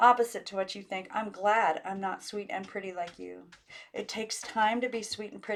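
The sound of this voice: The unforced reading voice keeps its intonation fairly even.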